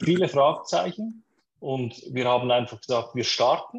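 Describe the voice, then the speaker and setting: A man talks at a fairly slow pace, his somewhat breathy voice carrying lively intonation. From Switzerland. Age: 30s. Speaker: startup co-founder. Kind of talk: interview.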